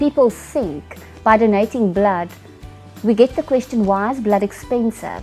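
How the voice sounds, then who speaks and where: Music plays behind a woman whose pitch varies in an ordinary way. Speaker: corporate services director / CFO. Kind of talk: interview answer.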